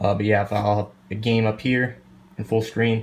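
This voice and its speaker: The speech comes at a very fast pace with a somewhat breathy quality. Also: man. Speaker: gaming streamer. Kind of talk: casual vlog tour.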